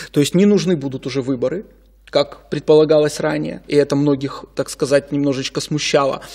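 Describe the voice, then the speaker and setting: The tone is dark and mellow, with ordinary pitch variation. The pace is fairly quick over a quiet background. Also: man, fairly high pitch for a man. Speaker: legal expert. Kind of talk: studio interview. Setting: studio. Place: studio. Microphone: studio mic.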